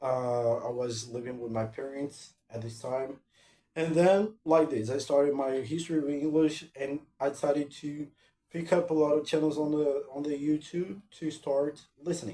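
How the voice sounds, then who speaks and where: A man's fairly high voice with a dark, mellow tone, in a Portuguese accent, at a moderate pace with ordinary pitch variation. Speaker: language-learning vlogger. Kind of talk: casual vlog talk. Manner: halting, with many repetitions and fillers.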